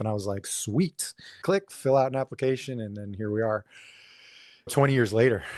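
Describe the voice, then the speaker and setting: A man talks at a fairly quick pace in an unremarkable speaking voice of medium pitch with ordinary pitch variation. The sound is dry and close with no echo, and the background is quiet. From South Florida, Fort Lauderdale area. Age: 40s. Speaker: police officer. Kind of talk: casual interview.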